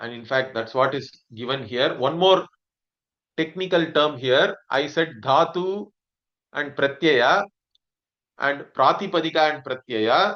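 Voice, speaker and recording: A man with a Tamil accent speaks at a fairly slow pace, with a fairly high pitch and ordinary pitch variation. His speech has long, frequent pauses. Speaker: Sanskrit teacher. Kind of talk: lecture.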